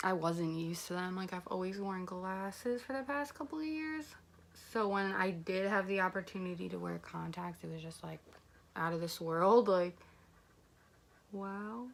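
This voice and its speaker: A woman speaks quietly at a medium pitch with lively intonation. Her pauses are long and frequent. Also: moderate pace. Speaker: beauty vlogger. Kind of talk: casual makeup tutorial chat.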